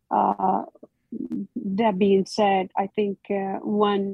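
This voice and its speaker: Music plays in the background as a woman speaks. Her intonation is monotone and flat. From Iraq. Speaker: military cultural advisor. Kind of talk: interview. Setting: video call. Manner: halting.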